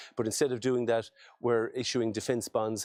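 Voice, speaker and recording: Monotone and flat in intonation, a man with an Irish accent speaks in a dark, mellow tone. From Ireland. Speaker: politician. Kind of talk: video message speech. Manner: halting.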